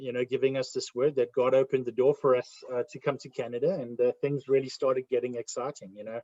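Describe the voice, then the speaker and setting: A man with a South African accent talks at a very fast pace with hardly any pauses, his medium-pitched voice dark and mellow, loudness swinging widely, the sound dry and close with no echo. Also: fairly even intonation. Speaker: ministry ambassador. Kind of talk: interview testimony. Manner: hesitant, many fillers.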